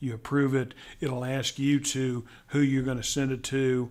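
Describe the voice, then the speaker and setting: A man talks at a medium pitch in a Texas accent. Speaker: corporate accounts payable trainer. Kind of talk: tutorial. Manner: halting, with many repeated words.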